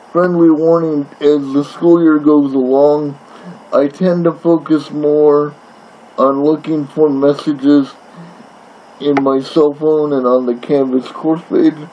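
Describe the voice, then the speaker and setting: Amid noticeable background noise, a man with a fairly high pitch speaks at a very slow pace in a flat monotone with very even loudness. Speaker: college English instructor. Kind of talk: recorded course introduction lecture. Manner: halting, with fillers and repetitions.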